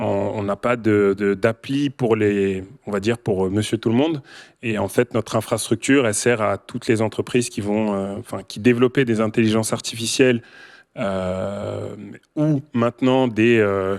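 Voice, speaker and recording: A man speaks slowly-ish at a fairly low pitch with fairly even intonation, in a dry, close sound with no echo on a very clean recording with a silent background. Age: 30s. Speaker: tech company founder and CEO. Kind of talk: panel discussion. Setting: stage with audience.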